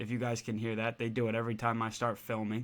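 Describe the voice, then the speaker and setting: On a very clean recording with a silent background, a man talks. His pace is fairly quick and his pitch medium. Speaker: gaming YouTuber. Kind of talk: video game commentary. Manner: casual.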